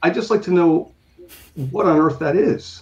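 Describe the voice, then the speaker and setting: Putting on a character voice, a man speaks in a raspy, high-pitched tone at a moderate pace. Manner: accusatory; impatient, pointed.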